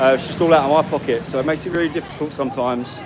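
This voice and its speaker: A man's fairly high-pitched voice with an English accent, over noticeable background noise. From England. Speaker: travel vlogger. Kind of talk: live stream walk and talk. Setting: outdoors on a street. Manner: fast.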